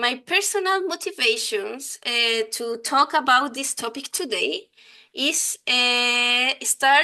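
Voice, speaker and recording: A woman with a Chilean accent speaks very slowly in a high, bright, sharp voice, raised and projected. Her pitch swings very widely, and the background is quiet. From Chile, Santiago. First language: Spanish. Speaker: software design lead and conference speaker. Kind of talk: conference talk. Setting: online conference. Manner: halting, many fillers.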